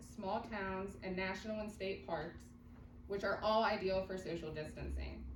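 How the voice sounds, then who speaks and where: A woman talks at a moderate pace with ordinary pitch variation, with audible room echo and noticeable background noise. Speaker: tourism marketing staff. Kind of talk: presentation to county commission. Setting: public meeting, no microphone.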